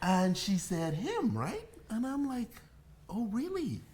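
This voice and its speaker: A man with a Bahamian accent talks in an animated tone at a moderate pace. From Bahamas. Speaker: bartender and livestream host. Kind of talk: casual chat. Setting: livestream at home.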